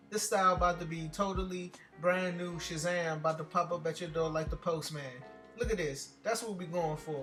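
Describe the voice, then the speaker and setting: With music playing behind him, a man speaks at a fairly quick pace in a high voice, his intonation fairly even. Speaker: comedic voiceover narrator. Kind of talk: comedic voiceover of hair tutorial. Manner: casual, joking.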